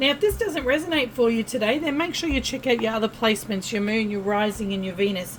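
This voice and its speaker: Over noticeable background noise, a woman with an Australian accent talks very fast at a fairly high pitch with ordinary pitch variation. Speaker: tarot reader. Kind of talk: tarot reading monologue. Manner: casual, chatty.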